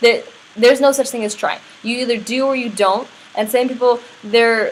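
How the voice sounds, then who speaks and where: Her intonation stays fairly even as this woman talks. Noticeable background noise is present throughout. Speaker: network marketing business trainer. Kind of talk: tutorial.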